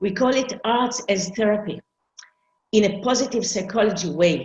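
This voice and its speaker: A somewhat breathy woman at a medium pitch, moderate in pace, with ordinary pitch variation. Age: 60s. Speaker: arts therapist. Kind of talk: conference presentation.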